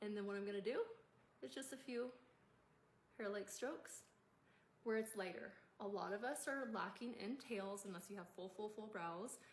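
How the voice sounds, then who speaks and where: Pausing long and often, a woman talks at a moderate pace and medium pitch in a room with audible echo. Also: ordinary pitch variation. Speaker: makeup tutorial creator. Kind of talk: tutorial.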